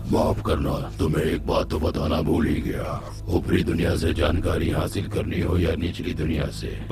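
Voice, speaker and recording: Over loud background noise, a man puts on a character voice with a very deep, low pitch at a moderate pace. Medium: short film. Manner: calm, detached, mock-polite.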